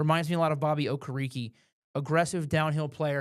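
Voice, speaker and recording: Fairly quick, fairly even speech in a very clean recording with a silent background. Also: man. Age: 20s. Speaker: podcast host. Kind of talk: casual chat. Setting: studio. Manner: quieter than guest.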